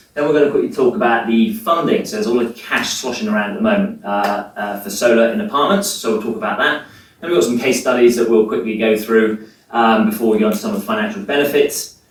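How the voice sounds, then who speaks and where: A man with an English accent at a very fast pace, with audible room echo and noticeable background noise. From England. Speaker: sustainability manager. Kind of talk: presentation.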